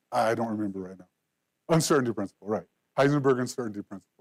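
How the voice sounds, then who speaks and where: A man talks at a medium pitch with ordinary pitch variation. The sound is dry and close, with no echo. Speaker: presenter at a game dev meetup. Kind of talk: lecture-style presentation. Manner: halting, frequent self-corrections.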